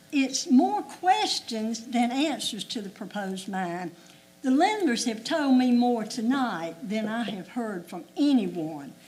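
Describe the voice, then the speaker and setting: Over noticeable background noise, a woman with a Southern US accent speaks very slowly at a high pitch with very wide pitch swings. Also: big swings in loudness. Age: 80s+. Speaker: local resident speaking at public hearing. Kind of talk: public comment at hearing.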